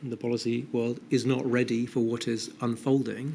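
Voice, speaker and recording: The speaker talks with a British accent. Intonation stays fairly even throughout. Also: man. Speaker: inquiry witness, behavioural science adviser. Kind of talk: formal inquiry testimony. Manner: fast.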